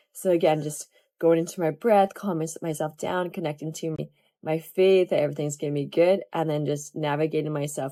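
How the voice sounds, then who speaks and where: With music in the background, a woman talks at a fairly quick pace in a very deep, low pitch with fairly even intonation. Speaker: yoga teacher. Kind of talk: online class talk.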